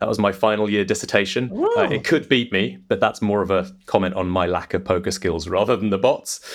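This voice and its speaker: A man's fairly low voice with an English accent, at a fairly quick pace. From England. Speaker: technology executive. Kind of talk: interview conversation.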